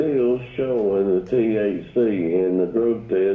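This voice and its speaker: Over noticeable background noise, a man speaks at a very slow pace in a Southern US accent. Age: 60s. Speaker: caller. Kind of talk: casual chat. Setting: phone call.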